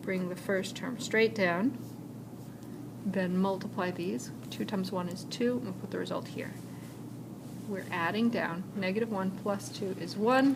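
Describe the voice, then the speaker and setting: A woman of medium pitch with lively intonation, fairly slow pace and long, frequent pauses, amid noticeable background noise and audible room echo. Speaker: high school math teacher. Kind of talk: recorded lecture. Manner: casual, with fillers.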